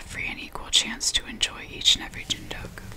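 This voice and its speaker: A soft-spoken woman whispers at a fairly quick pace. Noticeable background noise runs behind her. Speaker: content creator. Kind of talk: reading aloud, ASMR-style. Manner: soft close-mic whispered reading. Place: home room. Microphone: studio mic.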